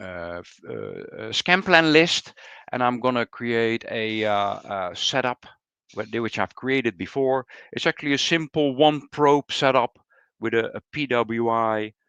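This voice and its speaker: Recorded dry and close with no echo against a quiet background, a man speaks at a fairly slow pace in a medium pitch, his tone bright and sharp, with ordinary pitch variation. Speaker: product specialist. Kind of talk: product demo tutorial. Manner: halting, many fillers.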